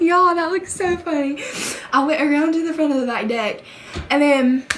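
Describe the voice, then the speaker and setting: A woman's high-pitched voice with an American accent, ordinary pitch variation and a moderate pace, amid noticeable background noise and audible room echo. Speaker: YouTuber. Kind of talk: casual storytelling vlog. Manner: animated.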